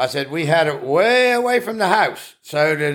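A man with an Appalachian accent, fairly high pitch and lively intonation. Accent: Appalachian American English. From US Appalachia (West Virginia). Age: 70s. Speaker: retired farm-raised grandfather. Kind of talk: casual chat. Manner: rambling storyteller.

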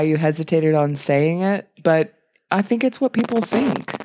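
A woman speaks in an unremarkable speaking voice at a moderate pace, her intonation lively. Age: 40s. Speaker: podcast co-host. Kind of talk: casual chat.

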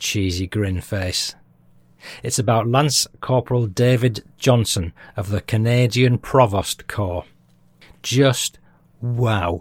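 A man speaks very slowly with a British accent, at a medium pitch, with ordinary pitch variation and long, frequent pauses. The recording is very clean with a silent background and a dry, close sound with no echo. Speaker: history podcast host. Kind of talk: scripted narration.

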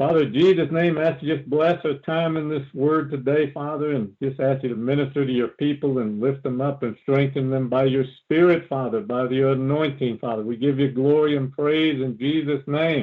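An unremarkable speaking voice moves at a moderate pace with hardly any pauses and fairly even intonation. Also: man, fairly high pitch for a man. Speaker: deliverance preacher. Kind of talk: sermon. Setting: phone call.

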